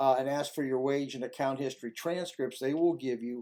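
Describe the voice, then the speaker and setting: A man speaks at a medium pitch. His tone is dark and mellow, his intonation fairly even. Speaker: former tax agent and tax resolution consultant. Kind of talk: tutorial. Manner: halting, with repeats.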